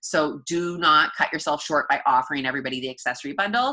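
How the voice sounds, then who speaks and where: In a quiet setting, a woman with a very deep, low voice and a bright, sharp tone talks at a very fast pace. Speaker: fitness coach team leader. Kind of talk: team training call. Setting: group call.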